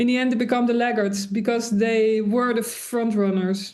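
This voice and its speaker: Room echo surrounds a woman's fairly high voice with a dark, mellow tone. Her intonation is monotone and flat. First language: Dutch. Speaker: industrial designer and sustainability author. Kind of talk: interview. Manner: hesitant, many fillers.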